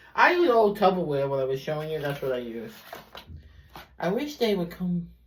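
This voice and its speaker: At a fairly quick pace, a woman with a Brooklyn accent speaks with very wide pitch swings, heard with audible room echo and noticeable background noise. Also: fairly low pitch for a woman. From US Northeast, Brooklyn, New York. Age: 50s. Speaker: beauty vlogger. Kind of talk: tutorial. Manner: casual, rambling with fillers.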